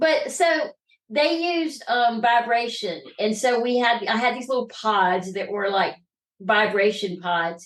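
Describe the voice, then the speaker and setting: In a Southern US accent, a woman speaks at a fairly high pitch. Her pace is fairly slow and her intonation lively. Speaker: trafficking survivor and entrepreneur. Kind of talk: interview testimony. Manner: halting.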